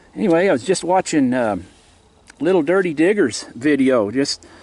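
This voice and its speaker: A normal speaking voice from a man, fairly high, lively in intonation, at a moderate pace. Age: 60s. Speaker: bottle digging video maker. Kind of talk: casual vlog narration. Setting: outdoors, digging at a dump. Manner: relaxed, with fillers.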